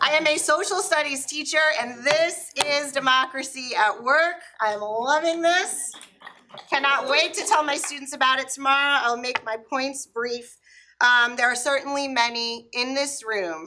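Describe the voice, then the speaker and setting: A woman's bright, sharp, high-pitched voice, raised and projected, at a fairly slow pace. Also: ordinary pitch variation. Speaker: teacher speaking at public comment. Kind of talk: public comment at council meeting. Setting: council chamber, full room. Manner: loud, projecting teacher voice.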